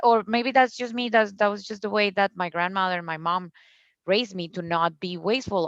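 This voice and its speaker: A woman with a Colombian accent speaks at a medium pitch, recorded dry and close with no echo over a quiet background. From Colombia, Cucuta. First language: Spanish. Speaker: founder of a zero-waste store. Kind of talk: podcast interview. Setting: video call.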